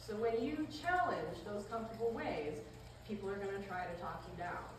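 A woman talks at a fairly quick pace with lively intonation, audible room echo and clear background noise. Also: medium pitch for a woman.

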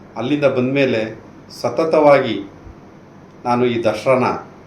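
With audible room echo and noticeable background noise, a man speaks at medium pitch with ordinary pitch variation. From Karnataka, Mysuru region (Piriyapatna taluk). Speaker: retired army soldier. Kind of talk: street interview opinion.

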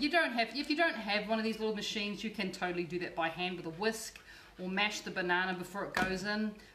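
Amid noticeable background noise and audible room echo, a woman with an Australian accent talks at a fairly quick pace in a fairly high pitch. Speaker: cooking show host and cookbook author. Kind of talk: cooking tutorial. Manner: chatty and warm.

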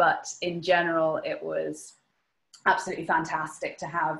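A woman speaks with a northwest Irish accent. Her pace is moderate. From Ireland, Sligo; Ireland. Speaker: knitwear designer. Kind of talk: webinar presentation; Q&A answers. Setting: video call. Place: home room. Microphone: webcam.

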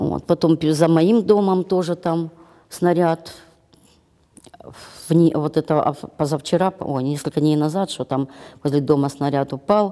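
Against a quiet background, a woman talks at a very slow pace. Long, frequent pauses break up her speech. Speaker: pensioner, war refugee. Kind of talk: testimony. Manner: halting, rambling. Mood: distressed, near tears. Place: hall. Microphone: lapel.

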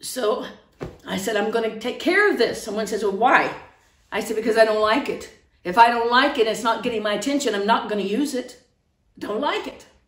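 A woman with an American accent speaks with long, frequent pauses, and audible room echo surrounds her voice. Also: ordinary pitch variation, fairly quick pace. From outside the United States. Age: 60s. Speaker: online preacher. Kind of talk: sermon. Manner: earnest, impassioned. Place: home room. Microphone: phone near.

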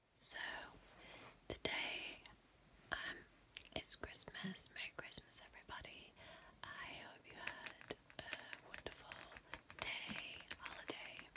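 Whispering, a woman speaks at a very slow pace with long, frequent pauses. Her loudness swings widely. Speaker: ASMR content creator. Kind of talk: ASMR roleplay talk to camera. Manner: relaxed, casual, playful.

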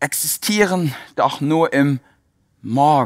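Against a quiet background, a man speaks in a calm, soothing tone. His fairly high voice has lively intonation. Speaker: yoga teacher. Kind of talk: guided meditation. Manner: calm, rhythmic, reflective; slow, soothing, repetitive phrasing. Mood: calm, warm, heartfelt. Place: hall. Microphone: headset.

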